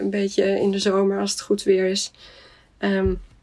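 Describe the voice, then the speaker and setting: Speaking at a very slow pace, a woman has a medium pitch and a slight Swedish accent. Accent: slight Swedish tinge in Dutch. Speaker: general practitioner. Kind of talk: interview. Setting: video call. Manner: hesitant, many fillers.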